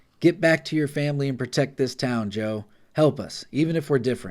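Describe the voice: In a put-on character voice, a man sounds husky. His pitch is medium and his pace fairly quick.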